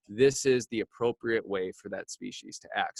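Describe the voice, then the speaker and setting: The sound is close and dry, free of echo. A man speaks at a moderate rate, his pitch varying in an ordinary way. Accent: Upper Midwest US. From rural Wisconsin. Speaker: pastor and author. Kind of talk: interview.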